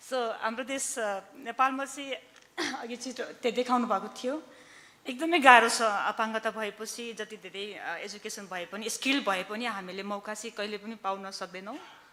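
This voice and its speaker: Bright and sharp in tone, this voice with a Nepali accent moves at a fairly slow pace, with big swings in loudness and ordinary pitch variation. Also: woman, fairly high pitch for a woman. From Nepal, Gorkha. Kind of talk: conference speech. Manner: halting.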